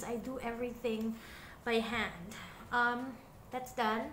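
Audible room echo and light background noise come through. A woman speaks at a fairly slow pace. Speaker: beauty vlogger. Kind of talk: casual makeup tutorial chat. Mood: relaxed, self-deprecating. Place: home room.

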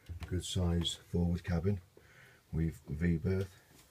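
Delivery here is very slow. There is noticeable background noise throughout. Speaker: boat seller or broker giving a tour. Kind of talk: guided tour commentary. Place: boat. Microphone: phone near.

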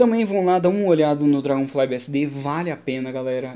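Speaking at a fairly quick pace, a man with a Brazilian accent shows ordinary pitch variation. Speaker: Linux instructor and tech YouTuber; Linux instructor, tech YouTuber. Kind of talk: tech commentary video. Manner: casual, conversational. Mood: relaxed, enthusiastic. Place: home room. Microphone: studio mic.

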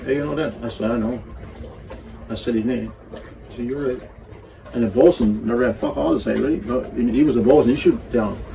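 Speaking at a fairly quick pace with a strong Newfoundland accent, a man talks over light background noise. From Newfoundland, Canada (Burgeo); Newfoundland, Canada. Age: 70s. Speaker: sailor. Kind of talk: casual storytelling chat; casual storytelling. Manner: halting, repetitive. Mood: animated, blunt storytelling. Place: boat. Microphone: phone near.

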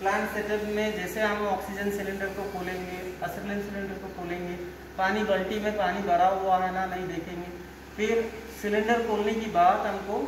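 A man speaks at a fairly slow pace in a high pitch with monotone, flat intonation. There is audible room echo and noticeable background noise. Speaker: vocational trainee or instructor. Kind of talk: lecture. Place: classroom. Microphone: camera far.

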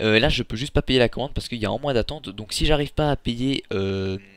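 Mid-range pitch from a man, with typical pitch movement. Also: very clean recording, silent background. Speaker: gaming youtuber. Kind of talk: casual vlog talk to viewers. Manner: fast; hesitant with many fillers.

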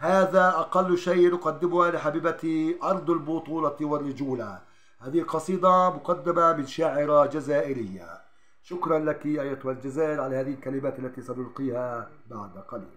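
A man at a fairly slow pace, with hardly any pauses and ordinary pitch variation. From Palestine. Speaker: journalist. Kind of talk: spoken introduction to a poem. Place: home room. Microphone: phone near.

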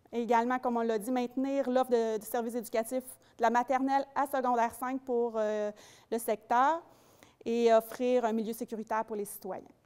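Over a quiet background, a woman talks at a moderate pace and fairly high pitch in a monotone, flat intonation. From Quebec. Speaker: community development officer; presenter. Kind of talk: public presentation. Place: hall. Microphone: handheld.

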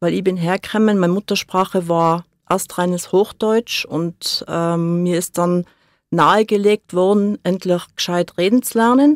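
In a very clean recording with a silent background and a dry, close sound with no echo, a woman with an ordinary speaking voice talks at a fairly slow pace, her medium pitch showing ordinary variation. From born in Hamburg, grew up in Seefeld, Tyrol. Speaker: studio guest. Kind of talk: radio interview. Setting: radio studio.

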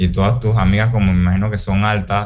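A man's fairly low, plain, everyday voice at a fairly quick pace. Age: 20s. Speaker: university student. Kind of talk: student presentation.

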